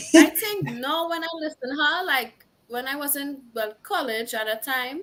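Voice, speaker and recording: A woman speaks at a moderate pace in a strong Trinidadian accent. Her pitch is high and her intonation lively. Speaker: singer-songwriter. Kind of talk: interview.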